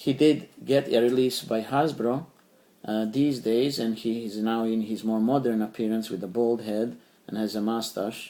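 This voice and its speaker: This man has a Serbian accent and a dark, mellow tone at medium pitch. He keeps a moderate pace and fairly even intonation. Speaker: toy collector YouTuber. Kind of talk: product review. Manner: halting, many fillers.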